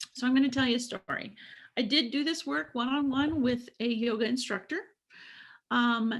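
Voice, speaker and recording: On a very clean recording with a silent background, a woman speaks at a high pitch with ordinary pitch variation. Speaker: business coach presenter. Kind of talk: recorded presentation. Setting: prerecorded video.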